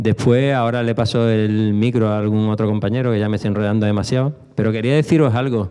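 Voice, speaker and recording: A man with a dark, mellow tone talks at a very fast pace with hardly any pauses. His intonation is fairly even, his loudness very even, and the background quiet. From Spain. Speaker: former BMX rider; speaker. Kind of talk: panel talk. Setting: stage with audience. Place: hall. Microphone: handheld.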